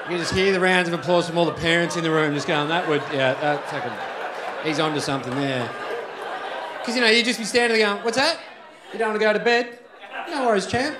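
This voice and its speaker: With crowd noise behind him, a high-pitched man speaks at a very fast pace with lively intonation and long, frequent pauses. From Australia. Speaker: stand-up comedian. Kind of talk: stand-up comedy set. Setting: live comedy club. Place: stage. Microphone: handheld.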